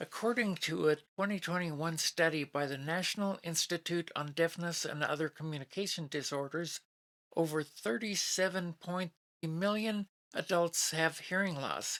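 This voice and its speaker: In a plain, everyday voice, a woman talks at a moderate pace with fairly low pitch and ordinary pitch variation, the sound dry and close with no echo. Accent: American. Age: 60s. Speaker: YouTube reviewer, retiree. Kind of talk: product review. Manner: formal.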